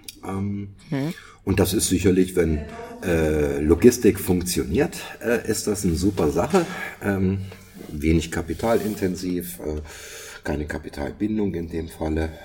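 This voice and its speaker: Against noticeable background noise, a man with a very deep, low pitch and ordinary pitch variation speaks at a fairly slow pace with long, frequent pauses. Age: 60s. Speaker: podcast co-host. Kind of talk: casual chat. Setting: online remote recording. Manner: halting, many fillers and repetitions.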